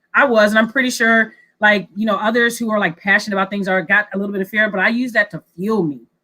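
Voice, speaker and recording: Loud and bright, a woman with an American accent speaks at a very fast pace in a sharp tone. Her pitch is fairly high and her intonation fairly even. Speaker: government innovation team member, new video host. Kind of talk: casual chat.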